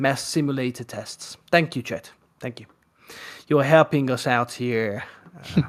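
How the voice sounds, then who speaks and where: A man with a Hungarian accent talks at a fairly slow pace, with ordinary pitch variation. Long, frequent pauses break up his speech. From Hungary. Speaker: live stream host. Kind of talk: casual chat.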